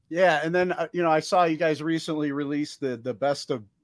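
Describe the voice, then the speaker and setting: A man speaks in an unremarkable speaking voice at a moderate pace with fairly even intonation. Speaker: podcast host, military veteran. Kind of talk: casual interview.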